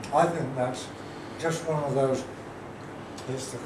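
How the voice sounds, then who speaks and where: Noticeable background noise can be heard. Over it, a man talks. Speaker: bartending trainer and judge. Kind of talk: spoken feedback on a drink. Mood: warm, appreciative. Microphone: camera far.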